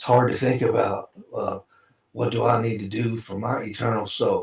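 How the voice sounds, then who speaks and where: Here a man speaks with a Southern US accent at a moderate pace. His loudness swings widely. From Kentucky. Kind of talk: casual chat.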